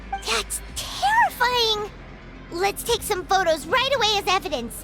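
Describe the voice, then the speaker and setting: Clear music plays behind a put-on character voice with an extremely high pitch, delivered at a fairly slow pace. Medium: machinima. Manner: earnest, reactive.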